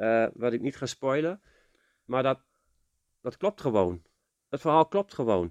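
The man's medium-pitched voice moves at a very slow pace, with a dry, close sound with no echo and a quiet background. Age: 40s. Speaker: podcast co-host. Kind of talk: casual chat.

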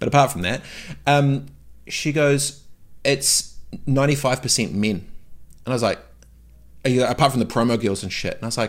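A man with a New Zealand accent speaks at medium pitch in a very clean recording with a silent background. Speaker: entrepreneur. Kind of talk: casual interview chat. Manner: animated.

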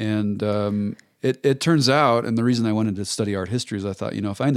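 Talking at a very fast pace with fairly even intonation, a man with a fairly low voice and an American accent is heard in a very clean recording with a silent background. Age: 30s. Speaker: ceramic artist. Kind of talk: casual interview. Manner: halting, many repetitions.

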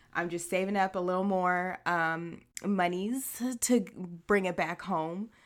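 A woman with an American accent, a normal speaking voice, medium pitch and fairly even intonation, in a very clean recording with a silent background. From Haitian American, US. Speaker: podcast co-host. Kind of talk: casual chat.

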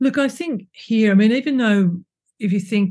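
A woman with an Australian accent, a somewhat breathy voice and a dark, mellow tone, at a moderate pace over a quiet background. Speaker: ecologist and author. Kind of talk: casual interview. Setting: remote call.

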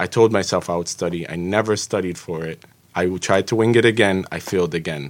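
At a moderate pace, a man with an American accent and a plain, everyday voice speaks at a fairly low pitch with ordinary variation, recorded very cleanly against a silent background. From Jersey City, New Jersey. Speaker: home inspector and civil engineer. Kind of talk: podcast interview.

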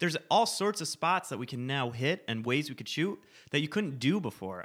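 A man with an unremarkable speaking voice and lively intonation, fairly quick in pace, on a very clean recording with a silent background. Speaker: podcast co-host, content agency worker. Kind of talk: casual chat.

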